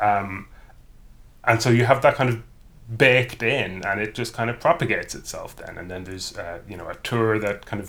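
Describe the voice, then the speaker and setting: In an Irish accent, a man with a fairly low pitch talks at a moderate pace with fairly even intonation. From rural Ireland; County Cavan, Ireland. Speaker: university professor. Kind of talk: casual interview chat.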